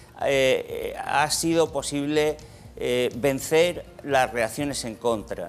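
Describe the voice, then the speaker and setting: There is noticeable background noise behind the speaker. A man talks at a very slow pace. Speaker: economics professor. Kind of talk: TV studio Q&A answer. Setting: TV studio with audience.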